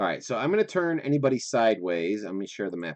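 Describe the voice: The recording captures plain reading aloud.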